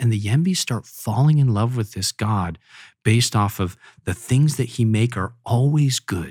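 Recorded very cleanly with a silent background, a somewhat breathy man of medium pitch talks at a moderate pace with lively intonation. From Papua New Guinea. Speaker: mission organization president, former missionary. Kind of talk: interview conversation.

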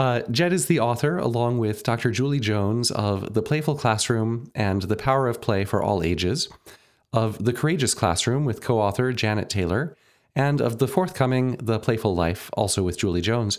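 An ordinary speaking voice from a man at medium pitch, with lively intonation, very even loudness and a moderate pace. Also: very clean recording, silent background. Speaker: podcast host and conducting professor.

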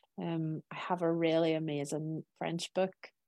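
With a Northern Irish accent, a woman speaks at a very deep, low pitch and a fairly slow pace, the sound dry and close with no echo over a quiet background. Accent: Northern Irish (Belfast). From Northern Ireland, Belfast. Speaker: cookery business owner. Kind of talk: interview.

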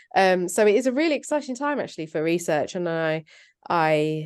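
A woman talks in a southern English accent. The background is quiet. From southern England. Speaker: PhD researcher and journalist. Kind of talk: interview.

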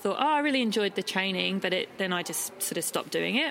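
A woman talks in an Australian accent. Her pitch is medium. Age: 40s. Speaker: ultra trail runner. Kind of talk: casual interview.

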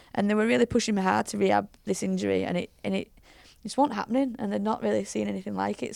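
A woman's fairly quick delivery on a very clean recording with a silent background. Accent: Yorkshire. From Leeds, West Yorkshire, England. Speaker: rugby league head coach. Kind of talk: casual chat.

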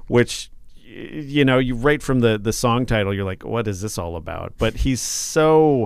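An ordinary speaking voice with an American accent keeps a moderate pace and ordinary pitch variation on a very clean recording with a silent background. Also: man. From southern Minnesota (Mankato). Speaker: radio host. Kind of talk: casual chat. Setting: radio station studio.

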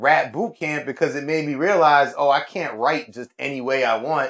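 Over a silent background in a very clean recording, a man speaks at a moderate pace with a New York accent. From New York City, Upper West Side of Manhattan. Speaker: rapper and visual artist. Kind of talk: casual interview chat.

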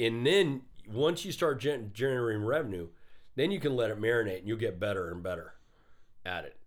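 Lively intonation at a fairly quick pace, broken by long, frequent pauses. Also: man. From Arizona (Phoenix area), Mexican-American. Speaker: entrepreneurship professor. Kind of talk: casual interview.

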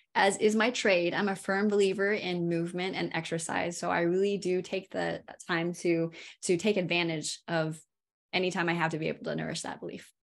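A woman with an American accent, a plain, everyday voice, ordinary pitch variation and a moderate pace. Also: very clean recording, silent background. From California. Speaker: physical therapist and pain specialist. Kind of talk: interview.

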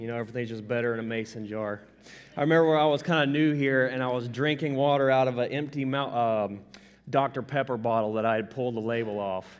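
With a Southern US accent, a man at medium pitch talks very fast in fairly even intonation. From US South. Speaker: pastor. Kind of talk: sermon. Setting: church. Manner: casual.

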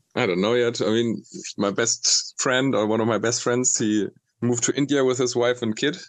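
A man with a German accent speaks at a moderate pace and medium pitch, with fairly even intonation and very even loudness. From northern Germany. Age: 30s. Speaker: traveler. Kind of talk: casual chat.

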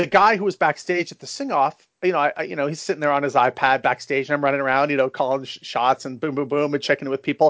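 This man speaks in a fairly high voice with an American accent, going very fast with hardly any pauses. His pitch varies an ordinary amount. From San Francisco, US West Coast. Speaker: a cappella producer and arranger. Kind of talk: interview.

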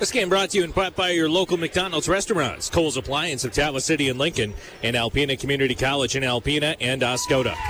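Noticeable background noise sits behind a man talking at a very fast pace with hardly any pauses. His loudness stays very even, with ordinary pitch variation. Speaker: basketball play-by-play announcer. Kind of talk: live sports commentary, play-by-play. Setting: gym broadcast, live radio game. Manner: rapid, fluent play-by-play with brisk, clipped sentences.

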